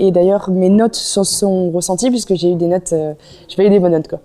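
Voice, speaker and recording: Fairly quick speech from a woman at medium pitch, the intonation fairly even. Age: 20s. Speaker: student athlete, water polo player. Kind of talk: interview testimony. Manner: hesitant, many fillers.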